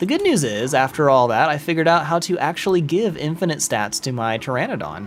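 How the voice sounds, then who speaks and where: A man with an American accent and a fairly high pitch speaks against noticeable background noise. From US South. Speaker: gaming streamer. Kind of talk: live gameplay stream commentary. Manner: casual, animated.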